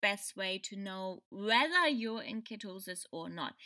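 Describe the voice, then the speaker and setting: The woman's tone is bright and sharp, and she speaks with a German accent. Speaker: podcast host. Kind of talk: solo podcast explainer. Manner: halting, many fillers.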